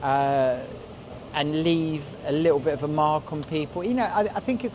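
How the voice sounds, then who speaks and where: Speaking in a London accent, a man with a fairly high pitch uses lively intonation amid noticeable background noise. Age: 50s. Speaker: graffiti artist. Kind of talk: interview. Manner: halting, many fillers and repeats.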